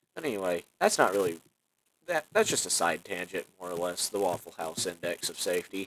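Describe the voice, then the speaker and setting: A man with a Southern US accent talks at a fairly quick pace. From US South. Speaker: content creator. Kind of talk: casual rant. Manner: halting, many fillers.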